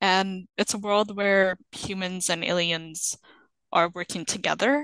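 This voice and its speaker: A woman has a plain, everyday voice. She speaks at a fairly slow pace. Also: medium pitch for a woman, ordinary pitch variation. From Canada, arrived from Sudan at seven. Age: 20s. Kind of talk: interview.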